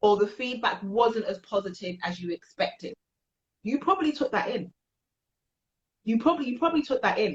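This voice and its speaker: Speaking in a British accent, a woman with a fairly high pitch and an animated tone moves at a fairly quick pace through very wide pitch swings, broken by long, frequent pauses. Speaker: podcast host. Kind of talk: casual chat. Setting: livestream. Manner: fast.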